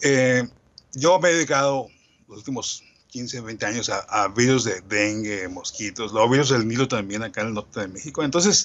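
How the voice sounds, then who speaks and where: The man's pitch sits at a medium level. He talks at a fairly slow pace with lively intonation. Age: 60s. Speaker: medical entomologist, researcher. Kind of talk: lecture.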